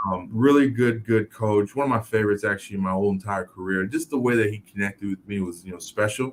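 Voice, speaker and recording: Speaking very fast with an American accent, a man keeps a fairly low pitch and fairly even intonation, barely pausing. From Miami, Florida (Haitian family, born New York). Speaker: former pro football player, author and speaker. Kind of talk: interview. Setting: live video show. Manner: many fillers (um, you know).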